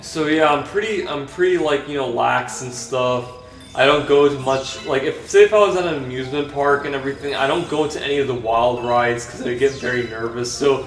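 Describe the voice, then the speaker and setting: With music in the background and audible room echo, a man speaks at a fairly quick pace in a fairly high voice with ordinary pitch variation. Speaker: vlogger. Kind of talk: casual vlog monologue while gaming. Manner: halting.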